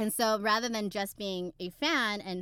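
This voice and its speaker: On a very clean recording with a silent background, a woman with an American accent speaks at a medium pitch and moderate pace, her tone bright, sharp and animated, with ordinary pitch variation in a dry, close sound with no echo. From Texas. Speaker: podcast co-host. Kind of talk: casual chat.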